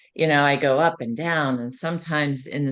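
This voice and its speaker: A woman with an American accent speaks in a very deep, low pitch with fairly even intonation. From US, West Virginia. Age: 60s. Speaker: program member sharing weight loss story, nurse. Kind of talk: interview testimony. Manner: hesitant, many fillers.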